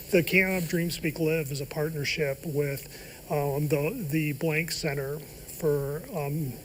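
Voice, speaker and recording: With audible room echo, a somewhat breathy man talks at a very slow pace in a fairly high pitch, his intonation fairly even. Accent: American. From Ohio. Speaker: professor. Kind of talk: TV interview. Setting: studio. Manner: halting.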